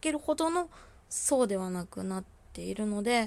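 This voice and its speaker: In a calm tone, a woman speaks at a fairly high pitch on a very clean recording with a silent background. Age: 20s. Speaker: solo podcaster living with bipolar disorder. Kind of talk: solo monologue, self-introduction. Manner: halting, many fillers and pauses.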